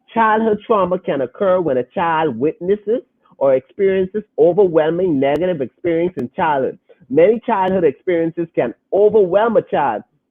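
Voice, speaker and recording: A man with a high pitch speaks in an animated tone. His intonation is lively, and his pace is moderate. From Bahamas. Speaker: podcast host. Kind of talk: reading aloud; casual podcast discussion.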